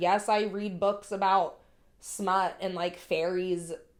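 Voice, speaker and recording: A woman speaks over noticeable background noise. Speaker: podcast co-host. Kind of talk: casual chat. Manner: loud.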